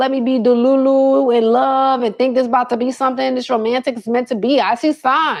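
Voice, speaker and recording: Her voice is high and animated in tone. The woman keeps a moderate pace. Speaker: live streamer giving dating advice. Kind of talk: casual livestream chat. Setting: live stream on phone cameras.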